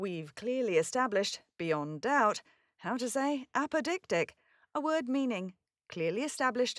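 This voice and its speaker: A woman with a British accent speaks at a moderate pace and a fairly high pitch, with very wide pitch swings, in a very clean recording with a silent background and a dry, close sound with no echo. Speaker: voice actor. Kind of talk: pronunciation guide. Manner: clear, careful enunciation.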